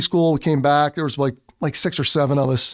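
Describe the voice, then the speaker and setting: The recording is very clean, with a silent background and a dry, close sound with no echo. A man with a Philadelphia accent speaks at a fairly high pitch. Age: 40s. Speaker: military police commander and federal investigator. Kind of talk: casual interview.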